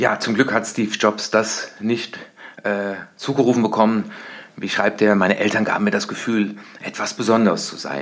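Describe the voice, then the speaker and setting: A man with an unremarkable speaking voice talks at a medium pace, his rather low pitch and intonation staying fairly even. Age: 50s. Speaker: success coach. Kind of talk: solo podcast monologue.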